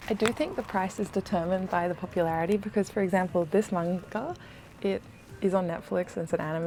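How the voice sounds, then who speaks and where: A soft-spoken woman talks at a very fast pace with a medium pitch. Her pitch variation is ordinary, and there is noticeable background noise. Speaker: travel and lifestyle vlogger. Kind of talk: casual vlog. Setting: inside a secondhand bookshop.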